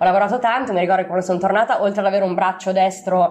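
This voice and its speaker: There is noticeable background noise behind this woman. She talks in a fairly low pitch with fairly even intonation. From Italy, Milan. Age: 30s. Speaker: traveller and volunteer. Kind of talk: interview. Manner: halting, with fillers.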